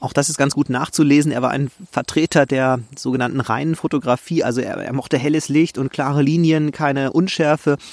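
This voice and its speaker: At a fairly quick pace with hardly any pauses, a man with a plain, everyday voice speaks at a fairly high pitch and fairly even intonation, the sound dry and close with no echo. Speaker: podcast host, nature photographer. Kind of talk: solo podcast monologue. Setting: outdoors in a forest.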